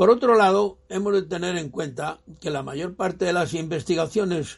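A man talks fairly slowly, his high pitch paired with lively intonation. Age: 90s. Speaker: elderly father sharing reflections. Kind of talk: prepared monologue.

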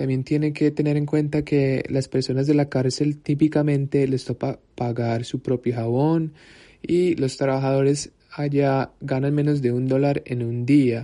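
A man's fairly high, dark, mellow voice in a monotone, flat intonation at a fairly slow pace, against a quiet background. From United States. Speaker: nonprofit communications worker. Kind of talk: prepared monologue. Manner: halting.

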